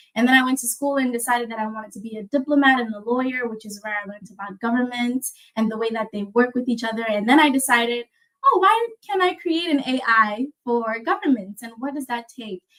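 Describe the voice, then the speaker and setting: With ordinary pitch variation, a woman speaks very fast at a high pitch. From South Africa. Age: 20s. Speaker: tech startup founder, speaker. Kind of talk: presentation with slides.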